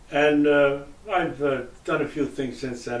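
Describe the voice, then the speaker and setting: A man's voice in audible room echo. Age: 90s. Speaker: retired sales representative. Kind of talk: interview. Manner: halting, many fillers.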